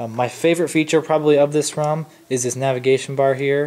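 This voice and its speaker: A man's voice in a monotone, flat intonation. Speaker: tech youtuber. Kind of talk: tutorial. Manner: fast; casual with fillers.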